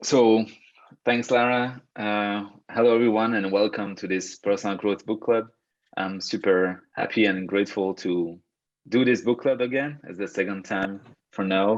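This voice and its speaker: Over a quiet background, a man with a Belgian French accent and a fairly low voice speaks at a moderate pace with fairly even intonation. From Belgium. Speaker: personal growth coach. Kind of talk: online workshop talk. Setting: video call. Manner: hesitant, many fillers and repetitions.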